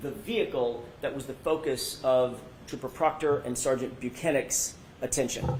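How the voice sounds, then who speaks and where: A man at a fairly quick pace, with ordinary pitch variation, audible room echo and noticeable background noise. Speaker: defense attorney. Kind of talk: direct examination. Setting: courtroom.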